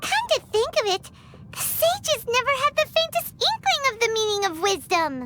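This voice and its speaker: A squeaky, put-on character voice at an extremely high pitch comes through loud background noise. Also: moderate pace. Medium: video game.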